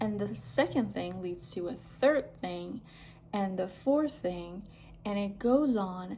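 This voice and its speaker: A dark, mellow, somewhat breathy voice with a non-native accent and lively intonation. There is audible room echo. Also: woman. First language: not English. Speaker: lifestyle vlogger. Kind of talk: casual vlog monologue. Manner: casual, with hesitations and fillers.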